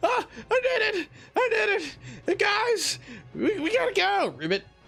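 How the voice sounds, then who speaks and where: A put-on character voice at an extremely high pitch, with music in the background. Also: moderate pace. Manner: excited, triumphant.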